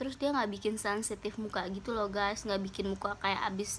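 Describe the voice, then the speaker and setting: A raised, projected voice comes through over light background noise. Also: woman. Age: 20s. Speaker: beauty vlogger. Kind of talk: casual talk to camera. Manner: upbeat, chatty. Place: home room. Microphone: phone near.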